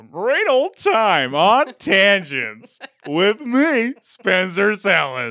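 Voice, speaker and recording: A female-sounding put-on character voice at medium pitch, very slow, with very wide pitch swings. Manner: polished, upbeat broadcast delivery.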